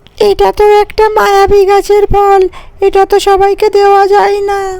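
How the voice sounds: A cartoonish character voice at an extremely high pitch moves at a fairly slow pace.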